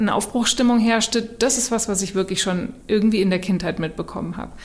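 Noticeable background noise is present. A woman does the talking. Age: 40s. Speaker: author and design strategist. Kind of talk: casual chat.

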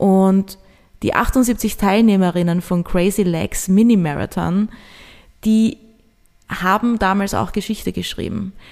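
A woman at medium pitch, very slow and fairly even, with long, frequent pauses. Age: 30s. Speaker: podcast host, marketing and event manager. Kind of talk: solo podcast monologue.

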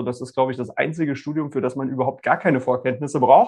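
A man speaks with fairly even intonation. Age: 40s. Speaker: lawyer. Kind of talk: casual interview. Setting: video call.

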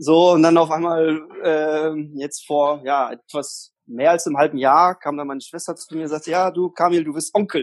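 Moderate in pace, a man speaks at a fairly high pitch with fairly even intonation. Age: 30s. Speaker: single guest on dating podcast. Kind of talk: casual interview. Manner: talkative. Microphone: echoey room on host side.

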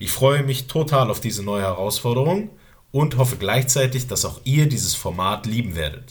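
Speaking at a moderate pace, a man with a medium pitch and a somewhat breathy voice uses lively intonation. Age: 30s. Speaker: podcast host, military police instructor. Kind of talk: scripted podcast trailer.

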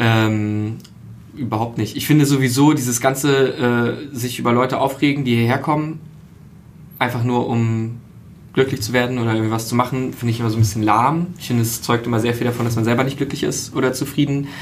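Audible room echo surrounds a man speaking at a fairly quick pace with fairly even intonation. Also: medium pitch for a man. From Berlin. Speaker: podcaster. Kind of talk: casual chat.

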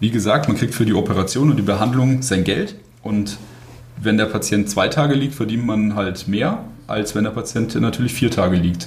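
Amid noticeable background noise and audible room echo, a man talks at a moderate pace in a fairly low voice, with ordinary pitch variation and very even loudness. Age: 20s. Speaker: paramedic and medical student. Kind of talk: casual interview.

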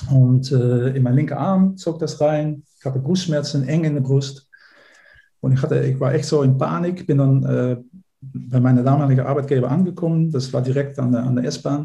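A man with a Dutch accent speaks at a moderate pace with a fairly high pitch. His tone is dark, mellow and somewhat breathy, and his intonation stays fairly even. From Netherlands. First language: Dutch (speaking German). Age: 50s. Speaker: life coach. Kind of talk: podcast interview. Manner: hesitant, with fillers and repetitions.

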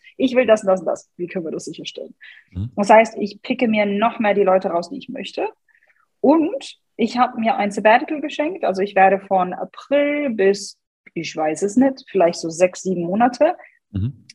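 A woman with a slight English accent speaks at a moderate pace in a fairly high pitch with lively intonation. Her voice is somewhat breathy, with big swings in loudness. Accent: slight English tinge in German. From Germany, Hannover. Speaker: personal branding coach. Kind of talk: podcast interview.

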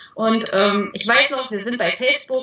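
A woman with a slight Thuringian accent, fairly even intonation, and noticeable background noise. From Thuringia, rural village. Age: 20s. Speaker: parenting blogger. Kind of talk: interview.

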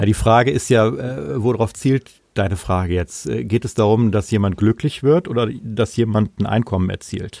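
The voice has a dark, mellow tone with vocal fry and ordinary pitch variation. The sound is dry and close with no echo. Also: man, fairly low pitch for a man, moderate pace. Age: 50s. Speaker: saxophonist and music school director. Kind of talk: interview.

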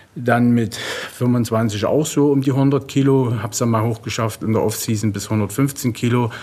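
A man's normal speaking voice at medium pitch, with fairly even intonation. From eastern Germany. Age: 40s. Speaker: professional bodybuilder. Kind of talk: interview. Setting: gym.

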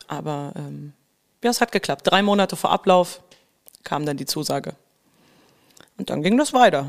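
A woman speaks with a fairly low pitch and very wide swings in it. Her pace is moderate, with long, frequent pauses and big jumps in loudness. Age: 30s. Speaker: musical actress. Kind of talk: casual chat. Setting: podcast studio.

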